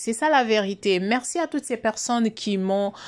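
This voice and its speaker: On a very clean recording with a silent background, a woman speaks at a fairly slow pace. Her pitch variation is ordinary. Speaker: YouTube commentator. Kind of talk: video commentary. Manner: soft-spoken.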